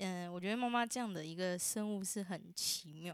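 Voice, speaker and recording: Here is a woman with a plain, everyday voice at a medium pitch. She speaks at a moderate pace with lively intonation. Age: 20s. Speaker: university student. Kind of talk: casual family chat.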